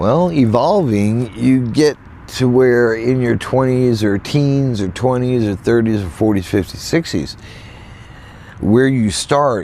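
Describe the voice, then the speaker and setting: A man with an American accent speaks at a very slow pace, his intonation lively. Noticeable background noise can be heard. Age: 60s. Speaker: van life vlogger. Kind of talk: casual vlog monologue. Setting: in a van in a field. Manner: halting, repetitive.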